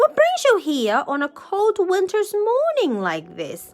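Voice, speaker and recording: A woman puts on a squeaky character voice with an extremely high pitch, speaking at a fairly slow pace over faint background music. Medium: read story. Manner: hearty, jovial.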